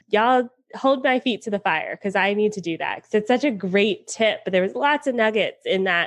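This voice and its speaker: Against a quiet background, a woman with an American accent speaks in an unremarkable speaking voice at a fairly quick pace with ordinary pitch variation. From US South, Atlanta. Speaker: podcast host. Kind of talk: interview.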